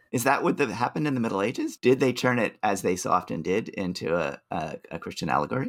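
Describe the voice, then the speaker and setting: Talking very fast with hardly any pauses, a man with vocal fry and a medium pitch swings his pitch very widely. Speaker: podcast co-host. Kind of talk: casual scholarly discussion. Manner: enthusiastic.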